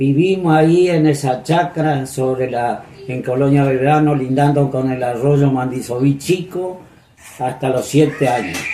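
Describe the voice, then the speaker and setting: A man with an Argentine Litoral accent, fairly high-pitched and fairly even in intonation, at a fairly slow pace amid noticeable background noise. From Entre Ríos, Argentina. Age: 80s+. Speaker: retired municipal purchasing chief. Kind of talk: oral history interview answer.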